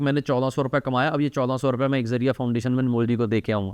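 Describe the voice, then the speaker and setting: A man speaks at a medium pitch with a Punjabi accent. The sound is dry and close with no echo, over a quiet background. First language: Punjabi (speaking Hindi). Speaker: talk show host and charity founder. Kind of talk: casual interview conversation.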